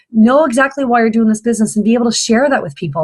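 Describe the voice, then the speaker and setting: A woman's somewhat breathy voice. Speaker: fitness business coach. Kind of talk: training video for new coaches. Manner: fast; hesitant, many fillers.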